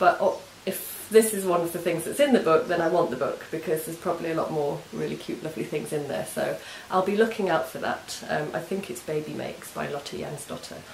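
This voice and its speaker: A woman with an English accent talks at a fairly quick pace, her pitch fairly low with ordinary variation. The room echo is audible, and there is noticeable background noise. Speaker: knitting and crafts podcaster. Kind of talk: casual craft vlog chat. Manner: hesitant, many ums.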